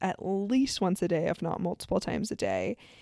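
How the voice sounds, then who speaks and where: Recorded very cleanly against a silent background, a woman's dark, mellow tone comes through in a dry, close sound with no echo, with ordinary pitch variation. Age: 30s. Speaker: podcast host. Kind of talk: solo reflective monologue.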